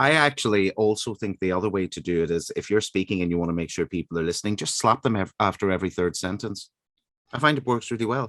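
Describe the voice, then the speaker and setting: A man speaks very fast with an Irish accent, his fairly low voice showing ordinary pitch variation in a dry, close sound with no echo. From Northern Ireland, Derry. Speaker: radio host. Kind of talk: radio interview.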